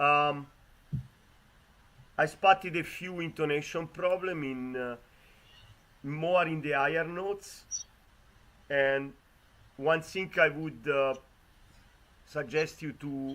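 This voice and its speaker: At a very slow pace with long, frequent pauses, a man speaks in a fairly high pitch with ordinary pitch variation. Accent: Italian. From Italy. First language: Italian. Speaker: competition judge. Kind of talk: judge feedback. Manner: halting.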